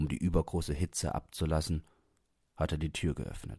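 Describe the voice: Speaking in an extremely low pitch, a man has a dark, mellow tone with a slightly husky edge and fairly even intonation. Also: moderate pace.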